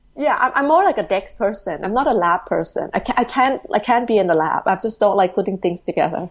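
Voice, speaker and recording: With a Thai accent, a woman talks at a fairly quick pace with lively intonation, hardly any pauses and very even loudness. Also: medium pitch for a woman. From Thailand, Bangkok. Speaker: education company executive. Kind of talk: interview. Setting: remote call.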